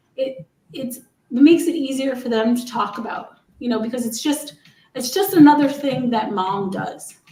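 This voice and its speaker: Speaking at a moderate pace with an American accent, a woman's high-pitched voice carries audible room echo. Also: ordinary pitch variation. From New York. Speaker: Parkinson's advocate. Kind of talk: casual chat.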